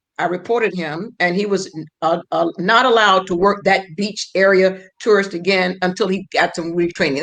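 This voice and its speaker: A woman speaks with a normal speaking voice at a medium pitch and a moderate pace. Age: 60s. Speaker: former prosecutor, legal guest. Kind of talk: round table legal discussion.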